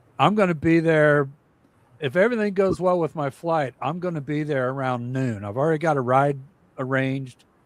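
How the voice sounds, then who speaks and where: At a moderate pace, a man with a fairly high pitch and ordinary pitch variation speaks in an unremarkable speaking voice. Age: 60s. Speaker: cruise livestream host. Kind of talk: casual chat. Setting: livestream.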